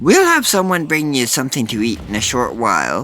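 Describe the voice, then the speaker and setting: A man performs a put-on character voice. He speaks fairly quickly with a fairly high pitch. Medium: read story. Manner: gruff, commanding.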